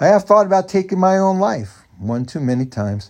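A man at a moderate pace with very wide pitch swings, over a quiet background. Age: 50s. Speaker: author and podcaster. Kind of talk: reading aloud own memoir.

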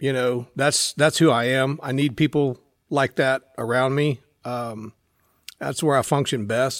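In a very clean recording with a silent background, a man with an American accent uses a normal speaking voice at a medium pitch with fairly even intonation. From Central Texas. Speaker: shooting instructor and school teacher. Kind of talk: casual interview.

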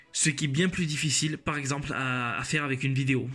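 A fairly high-pitched man talking at a fairly quick pace, with music in the background. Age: 20s. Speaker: podcast host, law student. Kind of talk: solo podcast introduction. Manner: scripted, formal.

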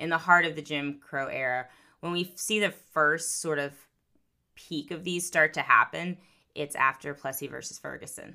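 Bright and sharp in tone, a woman with an American accent and a very deep, low pitch speaks at a moderate pace with fairly even intonation and big swings in loudness. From US South, Florida Panhandle. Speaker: professor. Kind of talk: casual chat.

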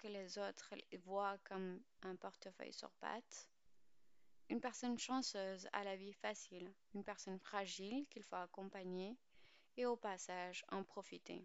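A woman speaks in a normal speaking voice at a fairly slow pace, with a medium pitch and fairly even intonation. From Pakistan. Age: 20s. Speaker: podcast host. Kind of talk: scripted narration.

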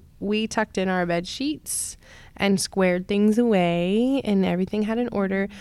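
An American accent with ordinary pitch variation, on a very clean recording with a silent background. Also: woman. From North Carolina. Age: 30s. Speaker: childcare worker. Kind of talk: casual chat. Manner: halting, many filler ums.

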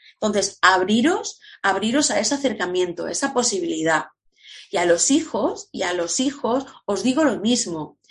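A somewhat breathy woman's voice, fairly high in pitch, with lively intonation at a moderate pace. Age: 50s. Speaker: entrepreneur, former language teacher, coach. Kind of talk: interview.

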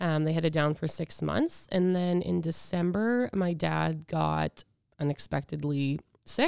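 With a Canadian Prairies accent, a woman speaks at a fairly slow pace in a very clean recording with a silent background and a dry, close sound with no echo. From Edmonton, Alberta, Canada. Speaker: podcast guest sharing grief experience. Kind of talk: casual interview, personal testimony.

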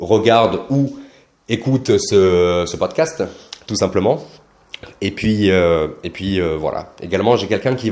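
Pausing long and often, a man speaks fairly slowly in a fairly low voice with ordinary pitch variation. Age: 20s. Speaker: MLM coach and podcaster. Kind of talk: casual monologue podcast.

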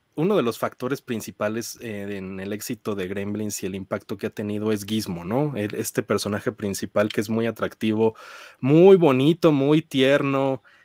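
On a very clean recording with a silent background and a dry, close sound with no echo, a man of medium pitch speaks at a fairly slow pace with lively intonation. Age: 30s. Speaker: film critic. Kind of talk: casual chat.

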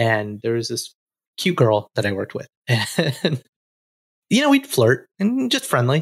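With an American accent, a man of medium pitch speaks at a fairly slow pace with lively intonation, long, frequent pauses and a somewhat breathy sound on a very clean recording with a silent background. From US South, Alabama. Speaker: podcast co-host. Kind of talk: casual interview.

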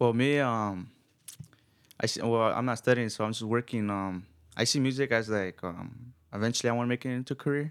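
Using an ordinary speaking voice, a man talks at a fairly quick pace in a medium pitch with fairly even intonation. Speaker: band guitarist and singer. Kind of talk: casual interview chat.

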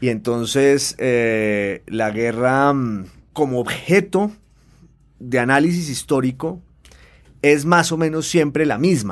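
A man speaks at a very slow pace. His pitch sits in the middle range, with ordinary variation. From Colombia, Popayán. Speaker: novelist and newspaper columnist. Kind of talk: interview. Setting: studio. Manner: hesitant with fillers and repetitions.

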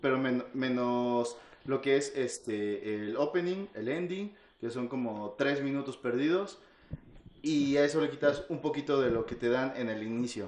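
Fairly slow speech with a Mexican accent. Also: man, medium pitch for a man, ordinary pitch variation. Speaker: podcast co-host. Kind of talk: casual chat.

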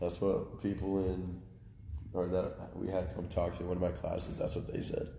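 This is a man talking at a moderate pace. The room adds an audible echo. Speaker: strength coach trainee. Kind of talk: casual chat.

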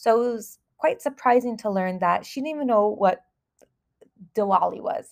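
With a Californian accent, a woman talks at a moderate pace with a fairly high pitch and ordinary pitch variation. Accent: Californian American. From Southern California, US. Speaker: school counselor and podcast host. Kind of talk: solo podcast monologue.

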